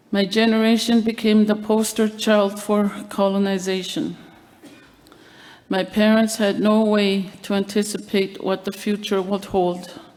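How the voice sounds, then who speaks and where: A woman speaks at a fairly slow pace and medium pitch, with flat, monotone intonation and very even loudness. Noticeable background noise is present. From Labrador, Canada (Innu community). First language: Innu. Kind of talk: award acceptance speech. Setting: evening event with audience. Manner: formal.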